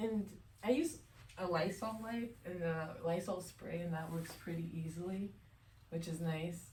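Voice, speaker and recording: A woman speaks with a somewhat breathy voice at a fairly low pitch. Room echo is audible. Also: ordinary pitch variation. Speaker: lab coordinator and vlogger. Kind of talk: casual vlog narration. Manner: whispering softly in the labs.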